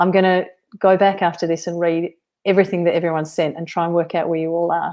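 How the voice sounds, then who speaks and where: On a very clean recording with a silent background, a woman with an Australian accent speaks at a fairly low pitch with fairly even intonation. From Western Australia. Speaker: novelist. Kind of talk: live-stream author Q&A. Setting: solo live stream.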